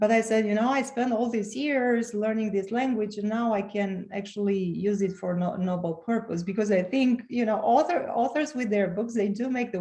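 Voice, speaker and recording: A woman with a Romanian accent and a fairly high pitch talks at a moderate pace with hardly any pauses and ordinary pitch variation, over noticeable background noise. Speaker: author and transformational coach. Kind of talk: podcast interview. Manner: halting, with frequent repetitions.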